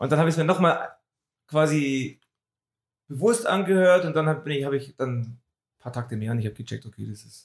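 Somewhat breathy and with lively intonation, the voice moves at a fairly quick pace, broken by long, frequent pauses and big swings in loudness. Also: man, fairly high pitch for a man. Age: middle-aged. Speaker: music podcast co-host. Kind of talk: casual chat.

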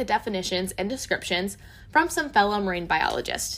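A woman's animated tone with very wide pitch swings. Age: 20s. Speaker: podcast host, marine biologist. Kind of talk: scripted narration.

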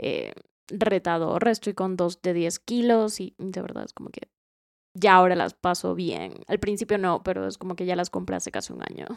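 Her loudness rises and drops in big swings. The woman keeps a moderate tempo. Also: very clean recording, silent background. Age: 20s. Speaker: podcast co-host. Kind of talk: casual chat.

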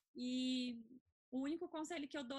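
A high-pitched woman's voice, moderate in pace, its pitch varying in an ordinary way. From Brazil. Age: 20s. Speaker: student and traveler. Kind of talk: casual chat.

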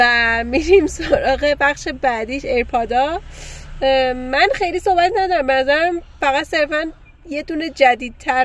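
High female voice, lively in intonation, at a fairly slow pace. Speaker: podcast host. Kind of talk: casual chat. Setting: in a car.

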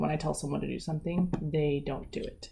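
Showing vocal fry, a woman talks at a fairly low pitch with ordinary pitch variation. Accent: American. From Eastern Washington, US. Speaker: police officer. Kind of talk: casual interview.

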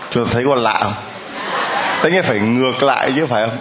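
With noticeable background noise behind him, a man talks with ordinary pitch variation. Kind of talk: sermon. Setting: church with large congregation. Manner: animated.

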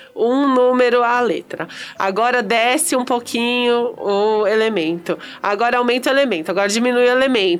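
This woman's voice is high-pitched and animated, moving at a moderate pace. Her loudness stays very even throughout. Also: ordinary pitch variation. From Espírito Santo, Brazil. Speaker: podcast host. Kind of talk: casual interview chat. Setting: studio with cameras. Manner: animated, laughing often.

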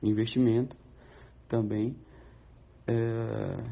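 A somewhat breathy man speaks at a medium pitch in a monotone, flat delivery. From Brazil. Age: 30s. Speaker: professional footballer. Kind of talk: recorded interview answers.

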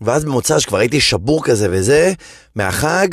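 Animated in tone, a man speaks at a fairly slow pace and fairly high pitch, his pitch swinging very widely. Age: 40s. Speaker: comedian. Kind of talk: casual chat.

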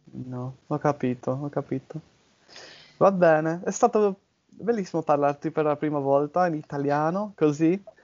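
Long, frequent pauses from a man with a fairly high pitch, speaking at a fairly slow pace with ordinary pitch variation. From southern England, Bournemouth. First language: English (speaking Italian). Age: 20s. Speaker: podcast host, language learner. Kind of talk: casual conversation in Italian. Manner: halting, hesitant.

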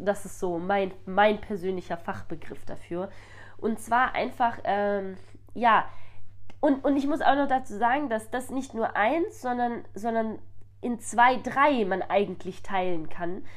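Her fairly high voice moves very slowly, and this woman's intonation is lively. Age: 20s. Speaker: podcast host. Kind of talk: casual monologue. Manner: hesitant with many fillers.

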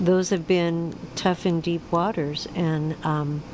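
Over noticeable background noise, a woman speaks at a fairly slow pace. Her pitch is fairly low and her intonation fairly even. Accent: American. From US West Coast. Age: 60s. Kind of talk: casual radio chat and interview. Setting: radio studio.

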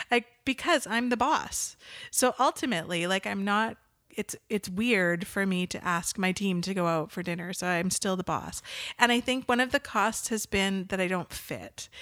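Speaking in a Canadian accent, a woman with a plain, everyday voice and medium pitch talks at a moderate pace with ordinary pitch variation. The recording is very clean, with a silent background. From Western Canada (Nanaimo, Vancouver Island). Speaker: marketing agency owner. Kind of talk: interview conversation.

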